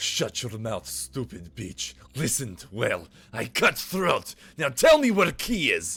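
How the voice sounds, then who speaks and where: In a gruff, put-on character voice, a man speaks at a medium pitch and a fairly slow pace. The recording is very clean, with a silent background. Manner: threatening, curt.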